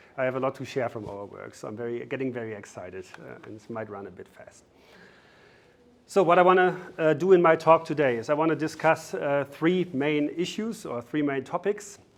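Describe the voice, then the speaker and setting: Moving at a fairly quick pace, the voice has lively intonation and big swings in loudness. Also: man, fairly high pitch for a man. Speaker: academic researcher. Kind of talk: lecture. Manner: fast.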